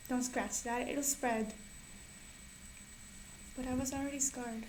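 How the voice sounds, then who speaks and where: Against noticeable background noise, a woman speaks with a non-native accent. Her high-pitched voice stays in a monotone, flat intonation. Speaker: poet. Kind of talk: poetry reading.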